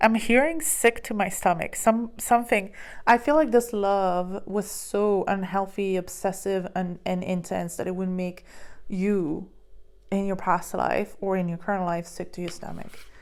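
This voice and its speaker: Speech comes at a fairly slow pace with ordinary pitch variation. The recording is very clean and the background silent. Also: woman, medium pitch for a woman. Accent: non-native. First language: not English. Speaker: tarot reader and psychic medium. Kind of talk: tarot card reading. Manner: halting, many fillers.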